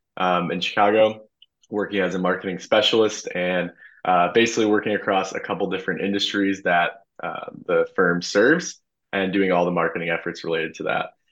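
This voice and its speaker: A man with an American accent speaks at a moderate pace in a fairly low pitch, an ordinary speaking voice over a quiet background. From US Midwest, Illinois suburbs. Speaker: former intern, consultant. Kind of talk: casual interview. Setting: video call.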